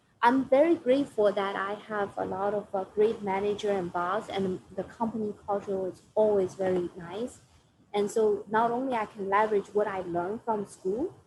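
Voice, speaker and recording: A woman speaks with a Chinese accent. Her intonation is fairly even. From China. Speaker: finance professional. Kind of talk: Q&A with students. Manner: halting.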